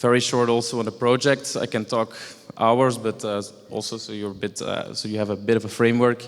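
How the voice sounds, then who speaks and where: A man at a fairly quick pace with monotone, flat intonation, over noticeable background noise. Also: medium pitch for a man. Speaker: former grant recipient, engineer. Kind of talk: presentation. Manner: halting.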